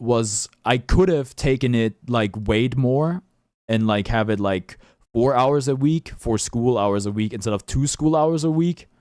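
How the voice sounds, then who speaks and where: A man with a German accent talks at a fairly slow pace and a medium pitch with ordinary pitch variation. The recording is very clean with a silent background. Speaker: streamer. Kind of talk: livestream commentary. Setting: livestream. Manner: halting.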